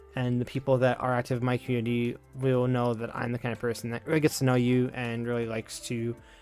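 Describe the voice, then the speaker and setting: Music plays in the background. A man talks at a medium pitch. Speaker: streamer. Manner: laid back, cozy.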